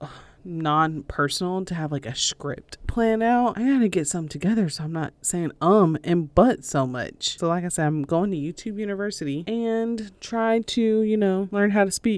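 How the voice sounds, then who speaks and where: With a Southern US accent, a woman talks using lively intonation. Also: moderate pace, hardly any pauses. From US South, North Carolina. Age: 30s. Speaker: podcast host. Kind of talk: casual solo podcast talk. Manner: many fillers like um, uh, and so; audible deep breaths, huffing on mic.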